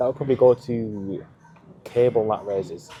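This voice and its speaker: A man over noticeable background noise. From England. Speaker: fitness vlogger. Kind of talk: casual vlog monologue. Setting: gym.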